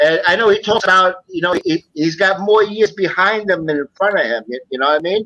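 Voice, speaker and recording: In a raised, projected voice, a man with a high pitch speaks at a fairly quick pace with ordinary pitch variation and hardly any pauses, the sound dry and close with no echo. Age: 60s. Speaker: returning guest on a live chat show. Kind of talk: casual chat. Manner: halting, repeats words.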